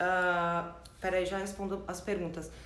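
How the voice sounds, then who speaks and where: Audible room echo and noticeable background noise are present. The talking proceeds at a moderate pace. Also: woman. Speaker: branding and marketing consultant. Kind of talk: live stream talk with Q&A. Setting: online live stream.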